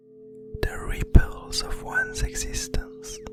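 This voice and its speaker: Whispering in a calm tone, the speaker is heard over music in the background. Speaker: illustrator. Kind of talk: ASMR art commentary. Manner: whispered, calm.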